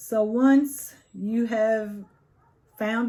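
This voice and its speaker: A woman with an animated tone. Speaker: tarot reader. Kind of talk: tarot reading.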